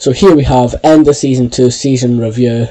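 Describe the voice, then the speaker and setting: At a moderate pace, a man with a Scottish accent speaks in a medium pitch with a dark, mellow tone and fairly even intonation. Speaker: football video game YouTuber. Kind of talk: gameplay commentary. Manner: stuttering.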